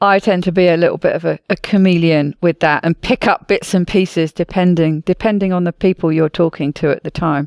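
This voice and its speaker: A woman with a British accent talks at a fairly quick pace, with hardly any pauses and fairly even intonation, in a fairly low pitch. The recording is very clean, with a silent background and a dry, close sound with no echo. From Britain. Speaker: podcast host. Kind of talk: casual podcast conversation.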